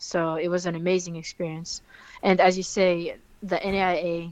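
Flat and monotone, a woman speaks at a fairly slow pace in a fairly low pitch. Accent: French. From France, Fontainebleau. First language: French. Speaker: professional basketball player. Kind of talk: interview.

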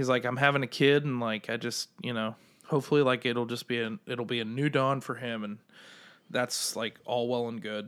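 With an unremarkable speaking voice, a man at medium pitch talks at a moderate pace and fairly even intonation on a very clean recording with a silent background. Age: 30s. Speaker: podcast co-host. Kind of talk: casual chat.

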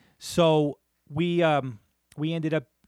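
A man with a New Jersey accent is heard in a dry, close sound with no echo. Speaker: podcast co-host. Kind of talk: casual chat.

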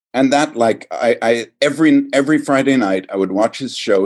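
Lively intonation marks this man's speech. He talks with an American accent. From Virginia, US. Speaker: actor and acting teacher. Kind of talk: casual interview chat. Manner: halting.

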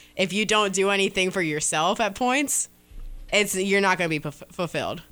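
Music plays in the background as a woman talks at a very fast pace. Her pitch is medium, with ordinary pitch variation. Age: 20s. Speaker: podcast co-host, works in radio. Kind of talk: casual chat.

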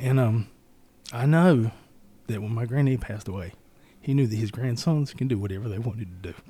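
A man with an American accent speaks at a fairly quick pace, with a medium pitch, ordinary pitch variation, a somewhat breathy, dark, mellow tone, and long, frequent pauses. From US South, Robeson County, North Carolina. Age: 30s. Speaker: state legislator. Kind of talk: interview. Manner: halting.

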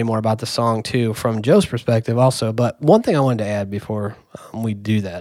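The speaker is a man with a normal speaking voice. He talks at a fairly quick pace with ordinary pitch variation. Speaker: podcast co-host and music producer. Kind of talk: casual chat. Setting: studio.

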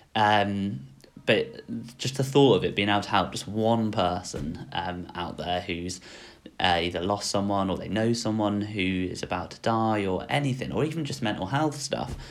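A fairly low-pitched man with an English accent, moderate pace and ordinary pitch variation. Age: 20s. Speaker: vlogger. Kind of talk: personal vlog monologue. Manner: hesitant, many fillers.

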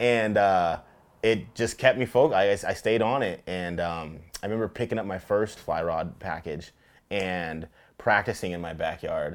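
A man's fairly low, normal speaking voice with an American accent, a moderate pace and ordinary pitch variation, on a very clean recording with a silent background. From Tacoma, Washington, US Pacific Northwest. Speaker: fly fisherman and outdoor advocate. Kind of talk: casual interview. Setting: outdoors on a beach.

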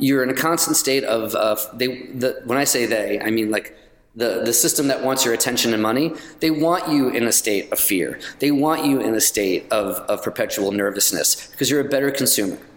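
Amid noticeable background noise, a man with an American accent talks fairly quickly at medium pitch, with ordinary pitch variation and very even loudness. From New York. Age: 50s. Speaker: comedian. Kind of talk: casual chat.

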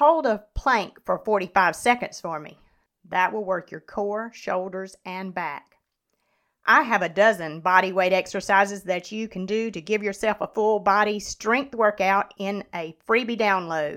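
In a plain, everyday voice, a woman speaks at a fairly slow pace and medium pitch with ordinary pitch variation and big swings in loudness, on a very clean recording with a silent background. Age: 50s. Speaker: podcast host and nutrition and fitness coach. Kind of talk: solo educational podcast monologue.

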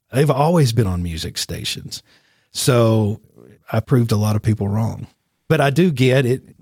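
A man with a Tennessee accent speaks in a somewhat breathy voice, taking long, frequent pauses, with a dry, close sound and no echo. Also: medium pitch for a man, lively intonation, moderate pace. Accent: Southern US (Tennessee). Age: 50s. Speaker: radio host and media business owner. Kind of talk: casual interview.

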